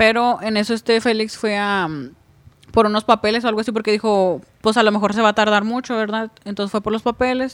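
A woman speaks in an ordinary speaking voice at a fairly high pitch. Her pace is fairly quick and her intonation fairly even. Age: 20s. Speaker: truck driver. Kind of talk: casual chat.

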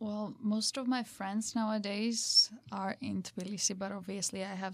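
A Georgian accent at a moderate pace, with fairly even intonation and noticeable background noise. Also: woman. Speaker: podcast guest. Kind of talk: casual chat.

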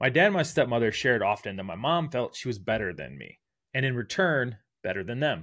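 On a very clean recording with a silent background, a man with an American accent speaks at a medium pitch with very wide pitch swings. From US Midwest, Northeast Ohio. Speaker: podcaster and recruiter. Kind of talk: personal storytelling monologue.

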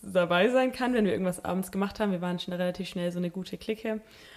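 A woman's voice with fairly even intonation. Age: 20s. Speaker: Bible school student. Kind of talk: casual interview chat. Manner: hesitant, many fillers.

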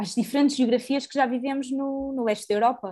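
A woman's high-pitched voice at a moderate pace, in a very clean recording with a silent background. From Portugal, Porto. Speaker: podcast co-host. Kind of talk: casual discussion of current affairs.

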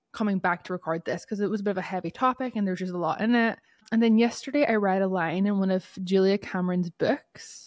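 A woman speaks at a very fast pace in a medium pitch, her tone animated and her pitch varying in an ordinary way. The sound is dry and close, with no echo. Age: 30s. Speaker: podcast host. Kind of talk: casual solo monologue. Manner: animated, laughing often.

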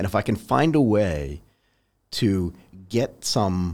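A man's very deep, low pitch with vocal fry and lively intonation on a very clean recording with a silent background. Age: 50s. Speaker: podcast host. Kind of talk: podcast interview.

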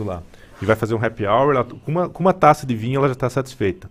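Music plays in the background as the speaker's pitch varies in an ordinary way. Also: man. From Paraná, Brazil. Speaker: wine businessman. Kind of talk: radio interview.

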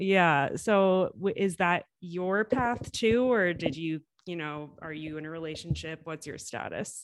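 A woman with a normal speaking voice talks at a fairly slow pace and fairly low pitch, with ordinary pitch variation, hardly any pauses and big swings in loudness. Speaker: podcast host. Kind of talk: casual interview.

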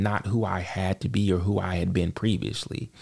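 A man's fairly low voice with vocal fry and an American accent. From US South, Charlotte, North Carolina. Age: 40s. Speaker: podcast co-host, IT worker and father. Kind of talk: casual interview, personal testimony. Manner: halting, many repetitions.

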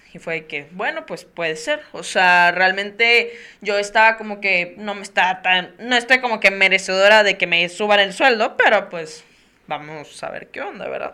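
A woman with a medium pitch speaks in a bright, sharp tone, her loudness swinging widely. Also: ordinary pitch variation, moderate pace. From Mexico, Tampico, Tamaulipas. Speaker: podcast host. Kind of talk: casual interview.

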